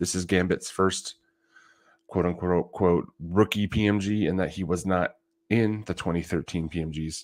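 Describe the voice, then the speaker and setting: A man mumbles in a very deep, low voice with monotone, flat intonation at a moderate pace. The recording is very clean, with a silent background. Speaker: trading card collector livestreamer. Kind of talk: casual livestream talk. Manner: mumbling.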